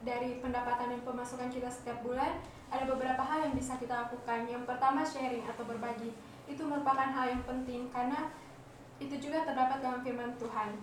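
A high-pitched woman with a West Sulawesi accent, very fast and flat in delivery, amid audible room echo and noticeable background noise. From West Sulawesi, Indonesia. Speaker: podcast co-host. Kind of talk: casual chat.

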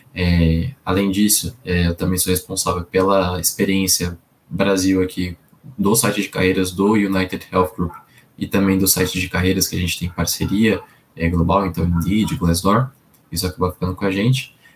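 A man talks at a moderate pace with a very deep, low pitch and fairly even intonation. His voice is somewhat breathy. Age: 20s. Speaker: employer branding professional. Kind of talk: interview.

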